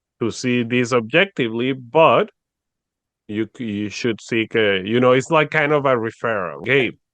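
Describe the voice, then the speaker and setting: In a dry, close sound with no echo and a quiet background, a man speaks at a medium pitch and moderate pace with ordinary pitch variation. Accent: Spanish. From Venezuela. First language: Spanish. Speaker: podcast host. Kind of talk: casual interview conversation.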